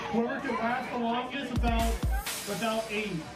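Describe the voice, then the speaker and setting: Moderate-paced speech from a woman over clear background music. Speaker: contest emcee. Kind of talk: event announcing.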